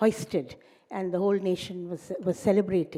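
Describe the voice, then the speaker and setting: Her tone is mellow and dark. She keeps to a moderate pace. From India, Delhi. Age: 80s+. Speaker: historian chairing a lecture. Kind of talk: public lecture remarks, personal reminiscence. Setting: auditorium with audience. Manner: halting, many fillers and restarts.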